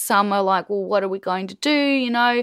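An Australian accent from a woman at medium pitch. The recording is very clean with a silent background and a dry, close sound with no echo. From Australia, rural Queensland. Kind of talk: casual interview conversation.

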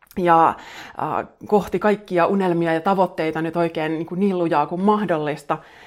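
Here a woman speaks at a fairly slow pace. Her pitch is fairly low and her intonation fairly even. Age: 40s. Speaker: podcast host and self-help author. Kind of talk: casual solo monologue. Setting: home living room, Instagram live. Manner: rambling, conversational.

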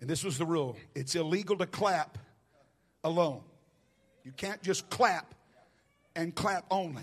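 This man has a high pitch, a Southern US accent and an animated tone with ordinary pitch variation. He talks at a fairly slow pace with long, frequent pauses against a quiet background. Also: big swings in loudness. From US South. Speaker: guest preacher. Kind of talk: sermon. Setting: church.

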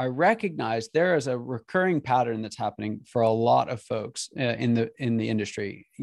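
In a normal speaking voice with an American accent, a man talks at a moderate pace and medium pitch with ordinary pitch variation, the sound dry and close with no echo. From Pennsylvania. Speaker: business coaching company CEO. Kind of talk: podcast interview.

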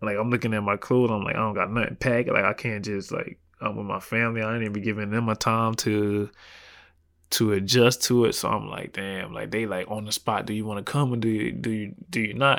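A man speaks fairly quickly with a South Carolina accent, his fairly low voice in a monotone, flat intonation. The recording is very clean, with a silent background. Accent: Southern US (South Carolina). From US South, South Carolina. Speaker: professional basketball player. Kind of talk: interview. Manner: casual, filler-heavy.

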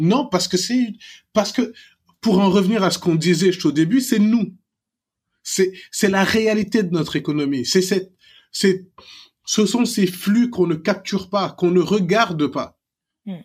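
Here a man speaks with a high pitch and ordinary pitch variation, at a fairly slow pace with long, frequent pauses. The recording is very clean, with a silent background. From Senegal, Dakar. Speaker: serial entrepreneur and investor. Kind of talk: interview.

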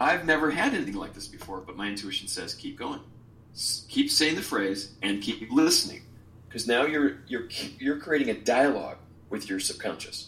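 A man with an American accent speaks at a moderate pace in a medium pitch, his intonation lively and his loudness swinging widely. Audible room echo surrounds the voice. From Chicago, US Midwest. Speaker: essential oils teacher and retreat leader. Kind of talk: interview; guided exercise.

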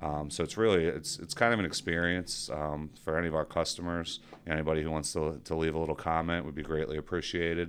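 In an American accent, a man talks at a very fast pace with hardly any pauses. His pitch is very deep and low, and his intonation is fairly even. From South Jersey, Washington Township. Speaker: payroll company executive. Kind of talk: casual interview chat.

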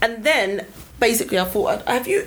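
Speaking with a London accent at a moderate pace, a woman's voice makes very wide pitch swings over noticeable background noise. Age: 30s. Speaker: podcast co-host. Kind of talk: casual chat. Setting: studio.

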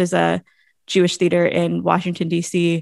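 On a very clean recording with a silent background, a woman speaks with a Californian accent in a dry, close sound with no echo. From California, Monterey. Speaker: playwright. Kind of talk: casual interview.

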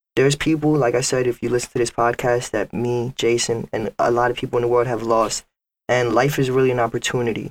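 A man talks at a fairly quick pace in a New York accent with monotone, flat intonation. The sound is dry and close with no echo. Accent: New York City English. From Bronx, New York. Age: 20s. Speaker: rapper. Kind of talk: casual chat.

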